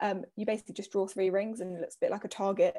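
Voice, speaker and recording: Recorded dry and close with no echo, a woman in a southern English accent has a fairly high pitch and a dark, mellow tone. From southern England, Hertfordshire (Hitchin). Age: 20s. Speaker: social work student. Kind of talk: casual interview.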